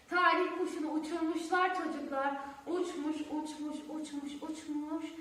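Strong room echo carries a woman's high-pitched voice with a fairly bright tone. She talks at a fairly slow pace with fairly even intonation.

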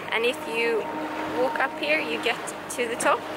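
Loud background noise runs under a woman's voice. She talks at a fairly slow pace in a dry sound with no echo. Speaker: travel vlogger. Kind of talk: casual vlog chat. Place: boat. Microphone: phone near.

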